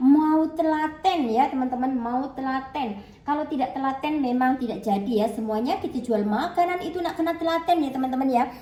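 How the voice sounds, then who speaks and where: A high-pitched woman talks at a fairly quick pace with hardly any pauses and ordinary pitch variation. Noticeable background noise and audible room echo come through. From Java, Indonesia. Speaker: cooking vlogger. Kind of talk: casual vlog chat while cooking. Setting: kitchen. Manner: chatty.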